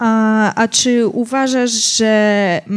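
The background is quiet. A woman speaks with a fairly high pitch and fairly even intonation. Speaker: youth council moderator. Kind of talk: public talk interview. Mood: hesitant, polite. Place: stage. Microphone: handheld.

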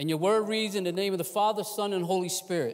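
A man is speaking. Behind him, the background is quiet. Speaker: guest preacher. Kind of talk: sermon, scripture reading. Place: church. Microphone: lapel.

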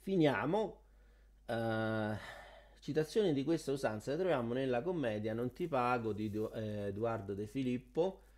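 A man talks at a fairly slow pace with long, frequent pauses, lively intonation and a medium pitch for a man. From Rome. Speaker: YouTuber teaching Italian culture. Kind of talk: video tutorial. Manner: animated.

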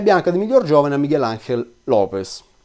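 Very wide pitch swings mark a man's fairly quick speech. Behind him, things are quiet. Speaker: cycling commentator. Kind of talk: video commentary monologue. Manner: hesitant fillers. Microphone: webcam.

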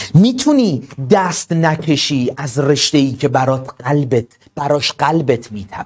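This man speaks with a fairly high pitch and ordinary pitch variation. His pace is fairly slow. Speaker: exam tutor and study counselor. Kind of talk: online class pep talk. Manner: soft-spoken, calm; slow and deliberate.

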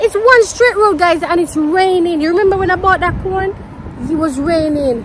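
A woman's extremely high voice over noticeable background noise. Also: ordinary pitch variation, moderate pace. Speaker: travel vlogger. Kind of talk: casual vlog chat. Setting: outdoors. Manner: animated.

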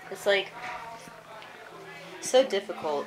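A woman speaks with music in the background. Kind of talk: casual vlog chat. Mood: sad, nostalgic. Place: bathroom. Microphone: phone near.

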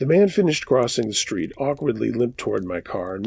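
Here a man talks at a fairly quick pace with vocal fry. His pitch swings very widely. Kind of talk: scary story narration, read aloud.

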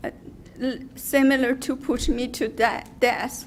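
The woman's voice is high in pitch. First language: not English. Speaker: public commenter, salon owner. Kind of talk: public comment at hearing. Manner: halting.

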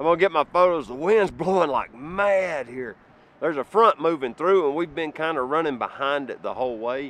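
Over light background noise, a man speaks at a moderate pace with ordinary pitch variation, the sound dry with no echo. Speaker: travel photographer vlogger. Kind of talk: casual vlog chat. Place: open country. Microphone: phone near.

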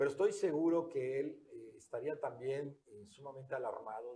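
A man talks at a moderate pace. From Quintana Roo. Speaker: political candidate; candidate. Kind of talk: interview. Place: studio. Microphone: lapel.

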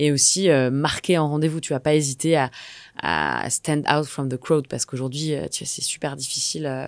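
A woman's very deep, low voice at a moderate pace, fairly even in intonation, with a dry sound with no echo and a quiet background. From Normandy, France (Rouen); Normandy, France. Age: 30s. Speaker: entrepreneur, community founder; podcast guest. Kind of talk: interview. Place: studio. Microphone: studio mic.

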